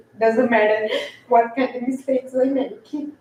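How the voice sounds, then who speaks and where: A woman with a non-native accent talks at a moderate pace in a high, monotone voice with flat intonation. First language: not English. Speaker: public commenter, property investor. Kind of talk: public comment at city meeting. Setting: city commission meeting. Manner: halting.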